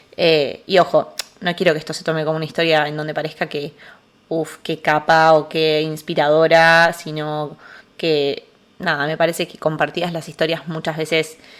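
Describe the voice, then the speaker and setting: On a very clean recording with a silent background, a woman speaks with monotone, flat intonation and big swings in loudness. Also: moderate pace. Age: 20s. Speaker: psychologist, podcast host. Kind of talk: casual podcast monologue. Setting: alone at home in the living room. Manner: hesitant, with filler sounds.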